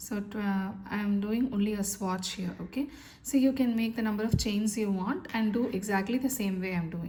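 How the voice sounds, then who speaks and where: A woman with a dark, mellow tone speaks at a medium pitch, somewhat breathy, with ordinary pitch variation. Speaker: crochet instructor. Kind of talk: tutorial. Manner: slow.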